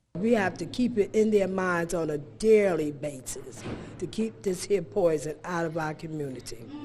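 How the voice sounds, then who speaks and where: Music plays in the background during speech at a moderate pace. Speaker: anti-smoking advocate. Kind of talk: testimony.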